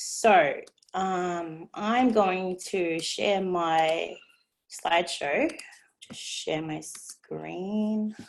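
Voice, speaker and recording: A woman with an Australian accent speaks very slowly at medium pitch, her loudness swinging widely. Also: ordinary pitch variation. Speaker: direct sales team member. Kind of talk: online presentation. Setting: video call.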